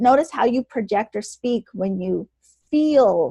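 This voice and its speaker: A somewhat breathy woman at a fairly slow pace, in a dry, close sound with no echo and a quiet background. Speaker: energy healer podcast co-host. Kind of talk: casual chat.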